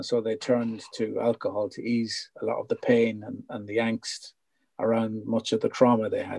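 A man with a northwest Irish accent, in a dry, close sound with no echo. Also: moderate pace. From Ireland, North Leitrim. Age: 50s. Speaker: founder of a secular recovery group. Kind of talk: casual interview chat. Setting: video call.

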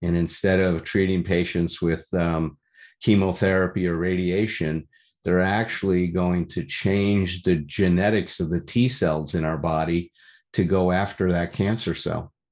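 In a Chicago accent, a man with a very deep, low voice speaks at a fairly slow pace with fairly even intonation against a quiet background. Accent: Chicago American. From US Midwest, Chicago. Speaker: recovery meeting speaker. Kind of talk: testimony. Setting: meeting room with audience.

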